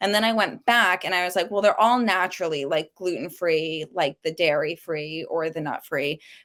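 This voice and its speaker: In a New York accent, a woman with a fairly low pitch and ordinary pitch variation is heard on a very clean recording with a silent background. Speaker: cookbook author. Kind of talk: podcast interview. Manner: casual, frequent 'like' fillers.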